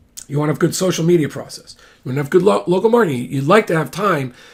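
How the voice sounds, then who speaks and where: A man's somewhat breathy, fairly high-pitched voice at a very fast pace, with lively intonation. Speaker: real estate attorney and broker. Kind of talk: informal explainer monologue. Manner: halting, many fillers and restarts.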